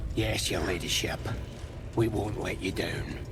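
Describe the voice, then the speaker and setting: A man performs a cartoonish character voice over loud background noise. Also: fairly low pitch for a man, moderate pace. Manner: gruff, rough slang.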